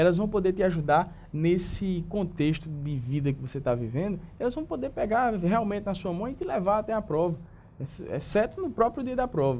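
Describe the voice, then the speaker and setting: The speaker's tone is dark and mellow, with lively intonation. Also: man, high pitch for a man. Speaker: public attorney and law professor. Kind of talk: interview. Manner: fast.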